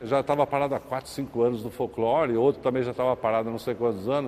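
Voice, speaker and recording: A man talks at a fairly quick pace. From Brazil, São Paulo. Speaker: folklore group founder and newspaper publisher. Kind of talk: interview.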